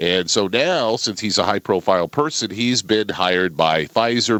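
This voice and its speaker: Here is a man with an unremarkable speaking voice, fairly low in pitch. He keeps a moderate pace with ordinary pitch variation. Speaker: radio show host. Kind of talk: radio news reading and discussion.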